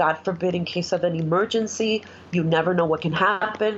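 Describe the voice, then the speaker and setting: This woman speaks with a Spanish accent at a moderate pace. Her pitch sits fairly low. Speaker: executive assistant. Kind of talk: interview.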